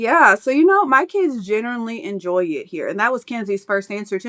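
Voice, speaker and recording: Lively intonation and a bright, sharp tone mark this very fast speaker with an American accent. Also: woman. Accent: slight country. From Kentucky, US. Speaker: expat mom. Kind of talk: casual chat.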